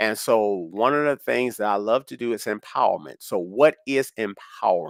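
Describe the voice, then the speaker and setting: In a very clean recording with a silent background and a dry, close sound with no echo, a man speaks at a moderate pace with very wide pitch swings. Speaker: motivational speaker. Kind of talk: motivational talk. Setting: live stream. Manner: unscripted, varying pace.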